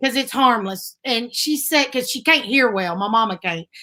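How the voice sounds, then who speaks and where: A woman's bright, sharp, raised and projected voice in a strong Southern US accent, with very wide pitch swings. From US South, north Alabama. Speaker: bluegrass singer. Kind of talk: casual chat. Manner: animated.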